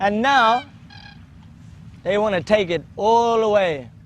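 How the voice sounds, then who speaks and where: This is a man's voice. It sits high in pitch. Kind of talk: documentary monologue. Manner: earnest, impassioned.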